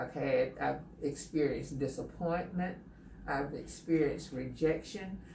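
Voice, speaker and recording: A woman speaks at a fairly slow pace with fairly low pitch and ordinary pitch variation. Noticeable background noise runs behind her. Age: 70s. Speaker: salon client. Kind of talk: interview answer.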